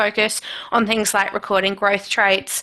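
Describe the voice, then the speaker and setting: A woman's bright, sharp tone carries an Australian accent. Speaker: agricultural extension team leader. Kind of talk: webinar presentation. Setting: video call.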